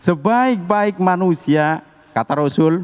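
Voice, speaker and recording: A man talks at a very slow pace. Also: dry, close sound with no echo. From Tegal, Central Java. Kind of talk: preaching, addressing an audience.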